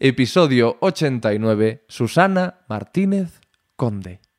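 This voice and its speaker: A man's voice with very wide pitch swings, in a very clean, dry, close recording with a silent background and no echo. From Spain, Galicia (Corcubión). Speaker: podcast host. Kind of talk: scripted intro; casual interview. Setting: in-person interview. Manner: animated.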